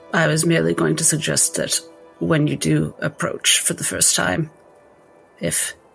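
A put-on character voice, raspy and tired in tone, at a low-to-middle pitch and moderate pace, with clear music in the background. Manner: tired, measured.

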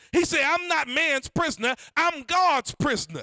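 Dry and close with no echo, a man's raised, projected voice sounds bright and sharp, with an animated tone at a moderate pace. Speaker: preacher. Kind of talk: sermon. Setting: church. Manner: animated, call-and-response preaching; fervent, rhythmic.

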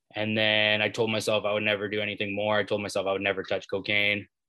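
A fairly low-pitched man in a Canadian accent, bright and sharp in tone yet monotone and flat in intonation, over a quiet background. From Maple Ridge, British Columbia, Canada. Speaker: recovering addict sharing his story, app founder. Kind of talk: personal testimony.

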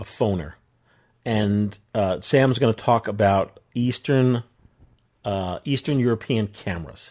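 A man with a New York accent speaks in a fairly low voice with ordinary pitch variation. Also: fairly slow pace. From New York area. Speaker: podcast host. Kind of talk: casual chat. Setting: video call.

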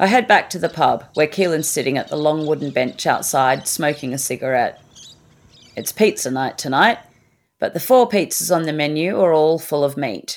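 A woman talks at a moderate pace in an Australian accent. Her pitch is very deep and low, with lively intonation. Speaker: podcast host. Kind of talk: scripted narration.

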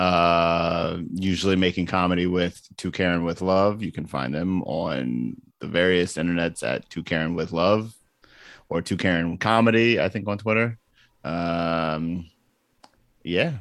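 A man with an American accent speaks at a fairly slow pace in a very deep, low pitch with ordinary pitch variation. The recording is very clean and the background silent. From Baltimore, US. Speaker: podcast co-host and comedian. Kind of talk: casual chat.

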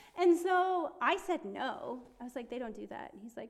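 A woman with a Midwestern accent and very wide pitch swings, over noticeable background noise. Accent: American, Midwestern. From Ohio, US. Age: 30s. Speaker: ministry intern. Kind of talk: casual chat, interview about personal faith story.

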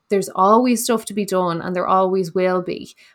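A woman's medium-pitched, normal speaking voice with fairly even intonation, on a very clean recording against a silent background. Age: 30s. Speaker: podcast host, nurse and wellness coach. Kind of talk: casual solo podcast talk.

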